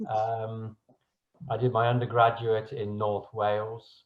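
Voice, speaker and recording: A man speaks in a British accent. His pitch is medium. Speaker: research chemist, team leader. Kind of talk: panel introduction.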